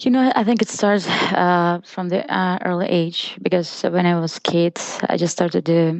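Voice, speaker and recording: A speaker with a Russian accent talks at a moderate pace. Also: woman. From Russia (Izhevsk). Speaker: photographer. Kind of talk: interview.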